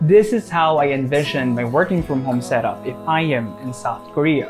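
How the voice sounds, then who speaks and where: Faint music sits in the background. A man talks over it. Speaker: vlogger. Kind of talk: casual vlog chat. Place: home room. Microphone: lapel.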